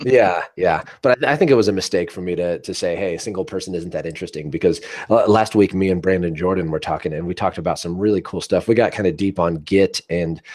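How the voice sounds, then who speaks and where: A man with an American accent talks at a very fast pace, hardly pausing at all. His very deep, low voice shows ordinary pitch variation. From United States. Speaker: podcast host. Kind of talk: casual chat. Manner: halting, many repeated words.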